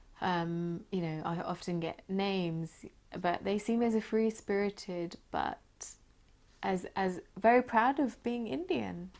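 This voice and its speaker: A woman speaks with a southern English accent at a medium pitch and ordinary pitch variation. The recording is very clean, with a silent background. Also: fairly slow pace. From southern England, Crawley. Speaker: architect. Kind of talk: oral history interview. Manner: halting.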